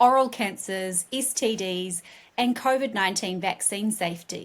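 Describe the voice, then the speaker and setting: A woman of medium pitch speaks in a plain, everyday voice at a moderate pace with ordinary pitch variation. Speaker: communications team member. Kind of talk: scripted guest introduction.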